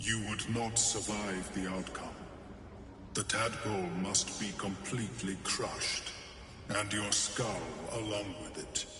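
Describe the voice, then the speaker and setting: In a put-on character voice, a man speaks fairly slowly at a fairly low pitch, with clear echo and loud background noise around him. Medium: machinima. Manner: clinical, detached.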